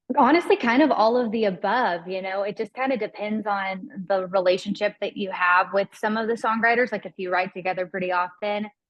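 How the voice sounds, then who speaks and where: A woman with a Southern US accent at medium pitch, a fairly quick pace, ordinary pitch variation and hardly any pauses. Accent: Southern American. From US South. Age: 20s. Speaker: country singer. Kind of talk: interview. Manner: casual, chatty.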